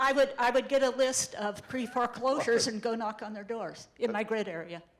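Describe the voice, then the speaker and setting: With noticeable background noise behind her, a woman talks at a fairly quick pace in a fairly high pitch, showing ordinary pitch variation and big swings in loudness. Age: 70s. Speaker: real estate investor. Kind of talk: interview answer at a seminar.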